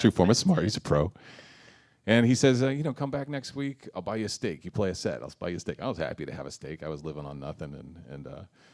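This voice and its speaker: A man speaks at a very fast pace in a very deep, low pitch. His pitch swings very widely. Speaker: blues harmonica player and singer; former rower. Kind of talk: interview. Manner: hesitant, many fillers.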